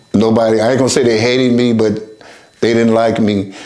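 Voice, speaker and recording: Noticeable background noise and audible room echo accompany a man speaking at a medium pitch. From US West Coast, Oakland, California. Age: 70s. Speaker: recovering addict sharing life story. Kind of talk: testimony. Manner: halting.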